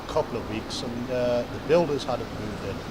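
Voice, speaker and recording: A man speaks at a moderate pace and medium pitch with ordinary pitch variation, with audible room echo and noticeable background noise. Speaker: former homeless squatter. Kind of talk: documentary interview, recounting memories.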